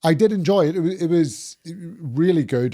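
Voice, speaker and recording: A man speaks at a moderate pace in a dark, mellow tone with lively intonation, on a very clean recording with a silent background. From Northern Ireland. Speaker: property litigation lawyer. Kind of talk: podcast interview.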